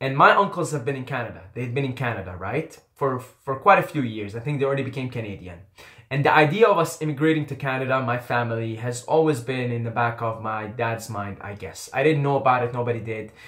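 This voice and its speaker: A man with an Arabic accent talks at a very fast pace with hardly any pauses, medium pitch and ordinary pitch variation. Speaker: YouTuber. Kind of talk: personal storytelling.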